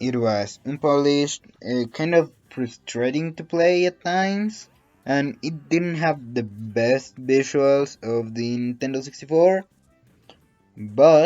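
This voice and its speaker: A man with a Latin American accent talks at a very slow pace, using a fairly high pitch and ordinary pitch variation. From Colombia (Antioquia region). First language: Spanish. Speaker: animator, YouTuber. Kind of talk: story time narration. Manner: casual, conversational.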